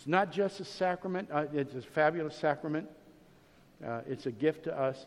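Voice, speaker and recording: With an American accent and ordinary pitch variation, an ordinary speaking voice proceeds at a moderate pace. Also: man. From Ohio, US Midwest. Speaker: pastor. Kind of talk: sermon.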